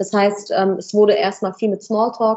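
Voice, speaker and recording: The speaker is a woman with a medium pitch. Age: 20s. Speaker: business owner in medical staffing. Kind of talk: interview.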